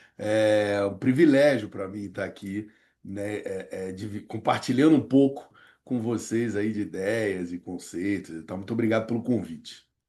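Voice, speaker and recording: The voice has a dark, mellow tone and a Rio de Janeiro accent, moving at a fairly slow pace. Loudness swings widely against a quiet background. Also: man, fairly low pitch for a man, ordinary pitch variation. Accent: carioca. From Rio de Janeiro, Brazil. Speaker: professor and negotiation consultant. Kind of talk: interview. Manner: halting, many fillers and repetitions.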